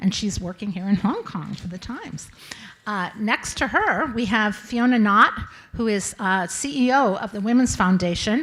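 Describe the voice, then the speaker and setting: There is noticeable background noise behind a woman's voice. She speaks at a fairly high pitch with ordinary pitch variation. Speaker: panel moderator. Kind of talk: panel discussion. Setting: stage with audience. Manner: fast.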